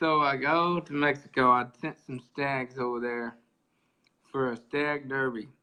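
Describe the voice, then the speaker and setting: At a fairly slow pace, a man with an Oklahoma accent speaks at medium pitch with fairly even intonation. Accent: rural Oklahoma. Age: young. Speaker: gamefowl breeder. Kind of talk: interview storytelling. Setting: live video stream.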